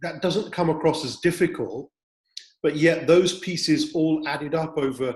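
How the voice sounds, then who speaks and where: This man has an unremarkable speaking voice, pitched fairly high, with fairly even intonation. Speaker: interview host. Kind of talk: interview question.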